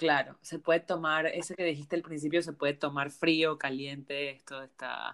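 In a very deep, low pitch, a woman speaks at a moderate pace with monotone, flat intonation and hardly any pauses, on a very clean recording with a silent background. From Panama. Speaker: travel podcast host. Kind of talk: casual interview.

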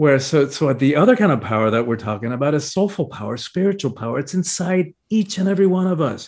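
A somewhat breathy man with an American accent speaks at a very fast pace with hardly any pauses. His fairly high pitch swings very widely against a quiet background. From Cuba, emigrated to the US at ten. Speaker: spiritual teacher and author. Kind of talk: interview. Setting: video call.

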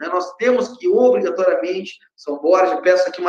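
The speaker is a man with a high-pitched voice. His intonation is lively. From Uruguay. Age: 40s. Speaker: mayoral candidate. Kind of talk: interview.

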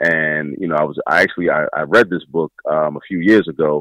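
A man with an American accent, very deep and low in pitch, at a moderate pace with ordinary pitch variation, in a dry, close sound with no echo. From Baltimore, Maryland. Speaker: math educator. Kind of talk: interview. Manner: repetitive, halting starts.

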